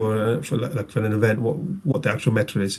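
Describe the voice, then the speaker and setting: Speaking at a very fast pace with a northern English accent, a man sounds somewhat breathy and uses ordinary pitch variation. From northern England, Rochdale. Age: 30s. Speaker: tabletop game player. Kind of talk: casual interview chat.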